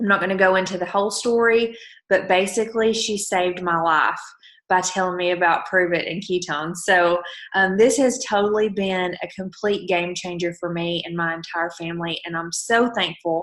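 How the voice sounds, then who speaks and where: A woman with a strong Southern US accent speaks at a moderate pace, her medium pitch held in fairly even intonation. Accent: thick Southern US. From Alabama. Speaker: network marketing promoter. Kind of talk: motivational team call.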